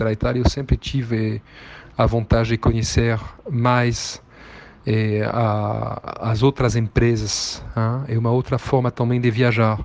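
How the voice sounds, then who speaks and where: With a French accent, a man speaks very slowly at a medium pitch, his intonation monotone and flat, leaving long, frequent pauses. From southern France. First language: French (speaking Portuguese). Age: 50. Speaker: business executive and investor. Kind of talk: interview talk. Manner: halting, with many fillers.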